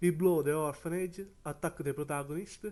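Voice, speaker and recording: A man speaks with a non-native accent. His pitch varies in an ordinary way over a quiet background. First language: not English. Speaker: anime YouTuber. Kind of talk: video review commentary.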